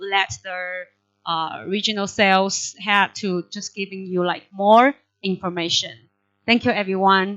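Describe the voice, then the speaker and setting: At a very slow pace, a woman speaks with a medium pitch. The sound is dry and close, with no echo. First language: not Indonesian (speaking Indonesian). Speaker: regional head of a tech company. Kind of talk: welcome speech. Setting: online webinar. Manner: halting, many fillers.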